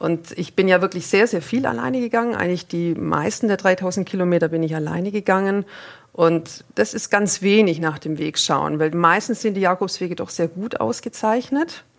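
A woman speaks in an unremarkable speaking voice, with medium pitch, ordinary pitch variation and a moderate pace. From Swabia, southern Germany (Ellwangen). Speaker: pilgrim and life coach. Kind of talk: interview.

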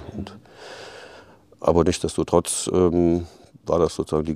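Flat and monotone, a man's speech sits at a very deep, low pitch. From Rhineland, Aachen. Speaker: head of a club promoting leisure. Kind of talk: interview. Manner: halting, many fillers.

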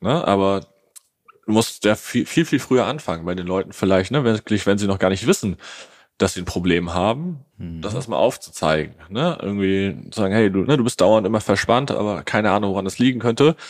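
A man speaks with lively intonation at a fairly low pitch. His is an unremarkable speaking voice, delivered at a fairly quick pace. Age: 20s. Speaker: social media ads agency owner. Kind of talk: podcast interview. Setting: office.

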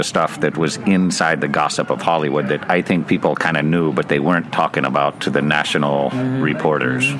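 Over music in the background, a man with an American accent speaks at a moderate pace in a very deep, low pitch. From US West Coast, Bakersfield, California. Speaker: university professor. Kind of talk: casual interview.

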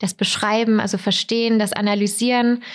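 Recorded very cleanly against a silent background, a woman speaks at a moderate pace with a fairly high pitch. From southern Germany (Weikersheim, Tauber Franconia). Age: 20s. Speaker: corporate digital business developer, trend expert. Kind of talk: podcast interview.

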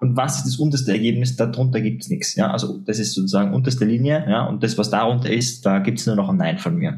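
A man with an Austrian accent talks at a very fast pace with hardly any pauses. His intonation is lively. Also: medium pitch for a man. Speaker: psychologist and NLP trainer. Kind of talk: interview.

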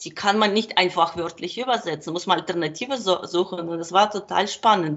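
A woman speaks with a Ukrainian accent. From Ukraine. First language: Ukrainian and Russian (speaking German). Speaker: translator and kindergarten worker. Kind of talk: interview. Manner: halting.

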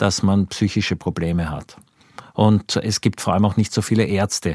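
Over a very clean recording with a silent background, a man speaks at a fairly slow pace in a fairly low voice. The sound is dry and close with no echo, and his intonation stays fairly even. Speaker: journalist. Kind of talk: interview.

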